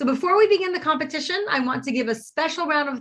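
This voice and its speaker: Against a quiet background, a woman speaks in a bright, sharp tone with lively intonation. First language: French. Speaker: college president and event host. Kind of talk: event hosting, spelling bee announcing. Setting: virtual live stream.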